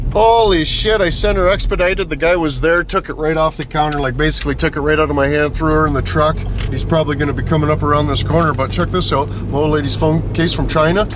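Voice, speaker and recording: The speech comes very fast from a man, with hardly any pauses. The recording is dry with no echo but has noticeable background noise. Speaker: vlogger. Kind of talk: casual vlog chat. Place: car. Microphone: phone near.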